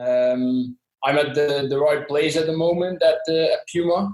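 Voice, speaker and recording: A man with a Dutch accent at a fairly slow pace. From southern Netherlands. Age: 20s. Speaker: sports brand employee. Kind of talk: podcast interview. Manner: hesitant, many fillers.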